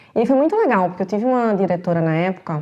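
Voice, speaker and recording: Against a quiet background, a woman talks at a fairly quick pace with a dark, mellow tone and ordinary pitch variation. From Recife, Pernambuco, Brazil. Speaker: marketing executive. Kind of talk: podcast interview.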